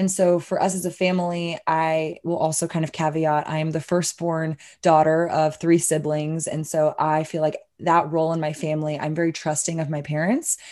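With an American accent, a woman speaks at a moderate pace in a very deep, low pitch, a dark, mellow tone and monotone, flat intonation over a quiet background. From Texas, Austin. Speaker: hemp business owner. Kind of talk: interview.

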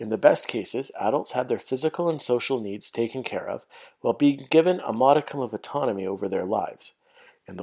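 With a Canadian accent, a man speaks at a fairly quick pace in a medium pitch with ordinary pitch variation. He has a normal speaking voice, on a very clean recording with a silent background. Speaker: podcast host, special education teacher. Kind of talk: scripted monologue, educational.

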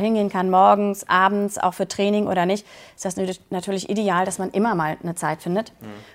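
Using a normal speaking voice, a woman talks at a medium pitch with fairly even intonation on a very clean recording with a silent background. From Berlin, Germany. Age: 40s. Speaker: coaching client. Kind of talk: interview testimony.

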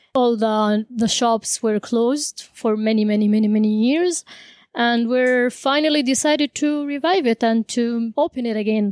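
A woman with an Arabic accent speaks at very even loudness, the sound dry and close with no echo. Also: fairly high pitch for a woman, ordinary pitch variation, moderate pace. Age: 20s. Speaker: cafe owner. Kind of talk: casual interview.

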